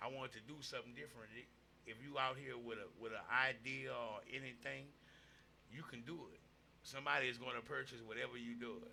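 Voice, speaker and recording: A man with a Louisiana accent, fairly quick pace and big swings in loudness. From Louisiana, Opelousas (Cajun Creole area). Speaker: rapper and host. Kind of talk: casual podcast interview.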